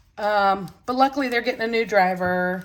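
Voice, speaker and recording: A woman's fairly high-pitched voice. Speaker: budgeting vlogger. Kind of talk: casual vlog talk. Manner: halting, many fillers.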